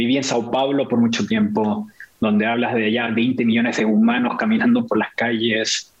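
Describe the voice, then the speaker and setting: Medium-pitched male speech at a moderate pace, monotone and flat, with very even loudness and noticeable background noise. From Chile, Santiago; also raised in Venezuela, Mexico, Brazil. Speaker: tech marketing worker, photographer. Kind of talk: casual chat. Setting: video call.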